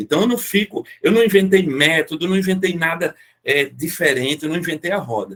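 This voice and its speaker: A man with a fairly high pitch and lively intonation talks at a moderate pace. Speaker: automotive market consultant. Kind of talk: online meeting talk. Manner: animated.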